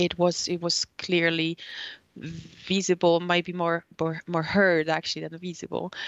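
A woman with a Polish accent, fairly low in pitch, in a monotone, flat delivery at a fairly slow pace. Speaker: journalist. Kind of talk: casual chat. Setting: studio. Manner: halting.

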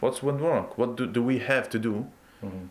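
Speaking with an Arabic accent, a man keeps a medium pitch and lively intonation. His pace is fairly quick. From Iraq/Palestine, raised in Iceland. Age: 20s. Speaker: guest, bath attendant and football fan. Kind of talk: casual interview. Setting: at a swimming bath.

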